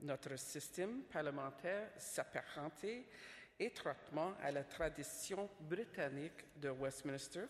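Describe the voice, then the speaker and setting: Very slowly, a woman with an English accent speaks in a very deep, low pitch with ordinary pitch variation. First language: English (speaking French). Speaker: government official, speaker. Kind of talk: conference speech. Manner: formal, somewhat halting.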